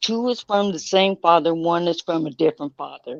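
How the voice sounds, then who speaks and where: This is a woman with a normal speaking voice and a fairly low pitch. Her intonation is lively, and the sound is dry and close with no echo. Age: 60s. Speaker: guest in group discussion. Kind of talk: casual chat.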